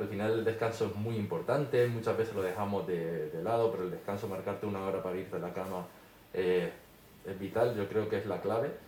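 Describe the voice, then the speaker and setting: Spoken in a Canarian accent, the voice carries audible room echo. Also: man. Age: 30s. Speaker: social media influencer. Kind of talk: interview.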